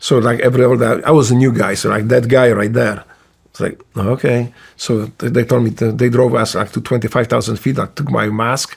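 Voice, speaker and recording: A man speaks with a Polish accent at a medium pitch and a fairly quick pace. His delivery is monotone and somewhat breathy. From Poland. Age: 60s. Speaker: retired Navy SEAL. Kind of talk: casual interview storytelling. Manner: halting, many fillers and restarts.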